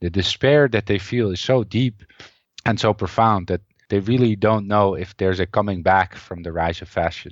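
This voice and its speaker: With ordinary pitch variation and a moderate pace, a man speaks at a fairly low pitch. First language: not English. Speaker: assistant professor and historian of economic thought. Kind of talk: interview about his book. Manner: hesitant, with many fillers.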